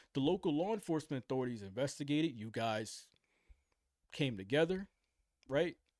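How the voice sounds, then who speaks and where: On a very clean recording with a silent background, a man with a fairly high pitch talks at a fairly quick pace in an animated tone and lively intonation, broken by long, frequent pauses. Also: dry, close sound with no echo. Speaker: reaction commentator. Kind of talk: casual commentary reacting to news video. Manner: animated, repetitive; loud.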